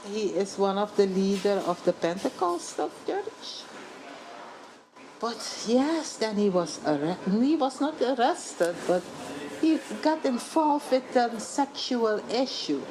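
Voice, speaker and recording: The speech comes at a very slow pace with a Dutch accent and very wide pitch swings. Noticeable background noise is heard. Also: woman, fairly high pitch for a woman. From Suriname. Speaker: journalist and author. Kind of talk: interview.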